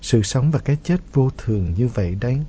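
Somewhat breathy, a man speaks at medium pitch with lively intonation. His pace is moderate. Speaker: radio host. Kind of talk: radio show hosting, reading listener letters.

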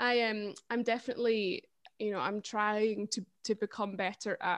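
A woman with a Scottish accent speaks at a fairly high pitch with fairly even intonation, in a dry, close recording with no echo and a quiet background. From Scotland, Perthshire. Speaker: folk singer and history teacher. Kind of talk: casual interview. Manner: hesitant, many fillers.

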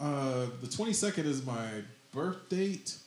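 A man talks over noticeable background noise. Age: 40s. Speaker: comedian and podcast host. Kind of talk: casual chat. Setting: studio.

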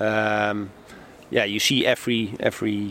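The speaker has a Dutch accent. He is a man. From Netherlands, Amsterdam. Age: 40s. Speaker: newspaper publisher and landlord. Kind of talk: casual interview. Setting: outdoors on a public bench. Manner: hesitant, many fillers.

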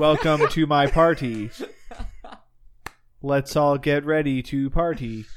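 A man puts on a robotic character voice, fairly high in pitch, speaking at a fairly slow pace with long, frequent pauses. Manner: robotic, computerlike.

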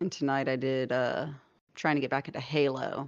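Over a quiet background, a woman with a very deep, low pitch talks at a moderate pace in a flat monotone. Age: 30s. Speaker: streamer. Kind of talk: casual chat.

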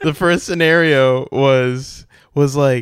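A man shouts loudly in a very clean recording with a silent background. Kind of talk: casual chat. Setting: home recording, party noise in background. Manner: loud, often yelling.

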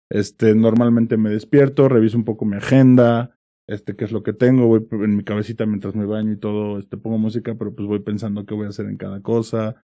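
A man with a central Mexican accent talks at a fairly quick pace with hardly any pauses. His voice is fairly low, with a dark, mellow tone and a monotone, flat intonation. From Mexico, Pachuca (Hidalgo). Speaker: startup executive. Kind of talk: interview. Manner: casual.

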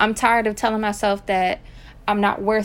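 A woman's fairly high-pitched, a normal speaking voice in an American accent, at a fairly quick pace. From Virginia, US. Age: 20s. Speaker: podcast host. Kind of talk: casual monologue.

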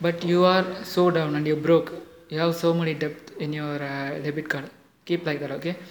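At a moderate pace, a man with a fairly high pitch speaks in a monotone, flat intonation over noticeable background noise. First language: not English. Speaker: motivational podcaster. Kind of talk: motivational monologue. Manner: halting, many fillers.

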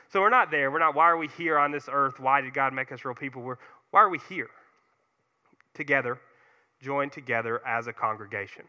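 A man's bright, sharp tone at a fairly high pitch, fairly quick pace, ordinary pitch variation, big swings in loudness, and long, frequent pauses. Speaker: guest preacher. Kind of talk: sermon. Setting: church. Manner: fast talker, moves around a lot.

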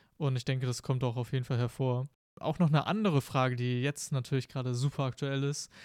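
A man's medium-pitched voice at a very fast pace, fairly even intonation, on a very clean recording with a silent background. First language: Spanish as second native language (speaking German). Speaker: podcast host. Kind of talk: casual interview.

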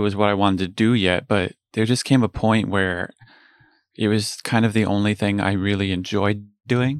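This man has a fairly low pitch and an American accent. He talks at a moderate pace with ordinary pitch variation. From New Jersey. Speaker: guitarist and pit musician. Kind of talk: casual interview.

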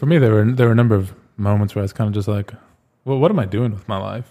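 The voice has a dark, mellow tone and fairly even intonation, delivered at a very fast pace with an American accent. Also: man. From US Southwest, Phoenix, Arizona. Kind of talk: casual chat.

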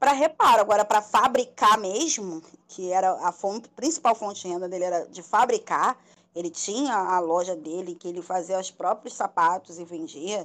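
Her loudness swinging widely, a woman speaks at a moderate pace and medium pitch with lively intonation. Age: 30s. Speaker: telemarketing worker. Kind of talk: casual chat. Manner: talkative.

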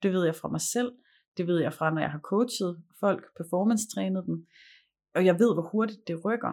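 Over a silent background in a very clean recording, a woman speaks at a fairly slow pace, medium in pitch with ordinary pitch variation. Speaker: communication and performance coach. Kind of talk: casual chat; guided meditation.

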